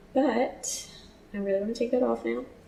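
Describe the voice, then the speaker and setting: This woman has an ordinary speaking voice, ordinary pitch variation and a moderate pace. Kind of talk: casual talk to camera. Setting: headset microphone, low quality.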